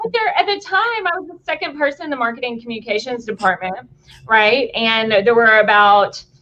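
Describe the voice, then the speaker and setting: With a Tennessee accent and a high pitch, a woman talks at a fairly quick pace in an animated tone with very wide pitch swings. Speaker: company executive. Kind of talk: casual interview chat.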